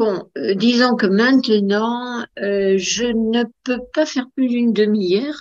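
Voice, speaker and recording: This woman talks at a very slow pace in a fairly high pitch. Her loudness stays very even throughout. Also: ordinary pitch variation. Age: 80s+. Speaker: amateur pianist. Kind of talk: interview answer. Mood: warm, reminiscing. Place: home room. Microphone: video call.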